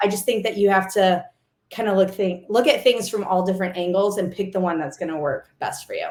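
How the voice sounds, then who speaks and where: A woman speaks at a fairly quick pace with an American accent, her medium-pitched voice carrying an animated tone. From US Midwest, St. Charles, Missouri. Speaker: race announcer. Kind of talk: podcast interview.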